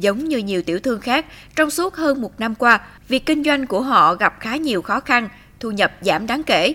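A woman speaks at a moderate pace with a high pitch and very wide swings. Her tone is bright and sharp. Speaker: news reporter. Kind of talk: news narration. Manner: formal.

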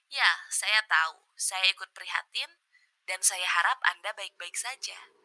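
Her tone dramatic, a woman speaks in a dry, close sound with no echo. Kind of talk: horror story narration. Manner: hushed, slow, creepy bedtime-story pacing; dramatic, voicing characters.

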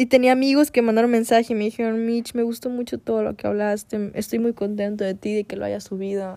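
A woman with a Mexican accent talks at a very fast pace with hardly any pauses, her dark, mellow tone set at a fairly high pitch in a monotone, flat intonation. The recording is very clean, with a silent background. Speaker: podcaster. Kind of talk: personal monologue. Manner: halting.

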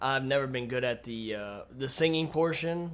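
Here a man has a plain, everyday voice of medium pitch. He keeps a moderate pace with ordinary pitch variation. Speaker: podcast co-host. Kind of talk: casual chat.

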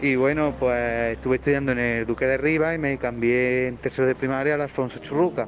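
Noticeable background noise surrounds a man speaking at medium pitch with monotone, flat intonation. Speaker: Roma man who left school early, interviewee. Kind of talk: personal testimony.

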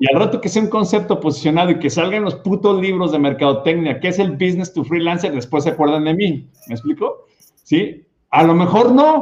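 The man's voice sits high and moves fairly quickly. His intonation is lively. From Mexico, Guadalajara. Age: 50s. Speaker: podcast host. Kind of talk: interview. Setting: studio.

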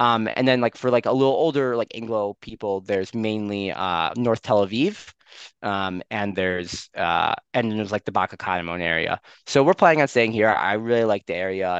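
A man with a Chicago accent, fairly low-pitched, at a moderate pace with ordinary pitch variation, in a dry, close sound with no echo and a quiet background. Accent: Chicago American English. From US Midwest, Skokie near Chicago. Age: 20s. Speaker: software engineer. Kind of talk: casual interview chat. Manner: frequent fillers, hesitant.

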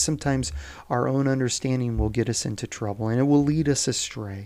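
A man speaks at a moderate pace with ordinary pitch variation in a plain, everyday voice, on a very clean recording with a silent background. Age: 40s. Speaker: devotional preacher. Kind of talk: daily devotional talk. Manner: informal.

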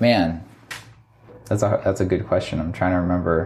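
This man talks with an American accent in a room with audible echo. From Virginia, US. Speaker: magazine founder and entrepreneur. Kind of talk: casual interview. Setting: spare room at office.

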